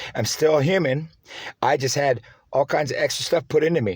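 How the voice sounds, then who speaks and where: The speaker is a man with a somewhat breathy voice. His pitch varies in an ordinary way. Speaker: vlogger. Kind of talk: monologue. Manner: fast; hesitant.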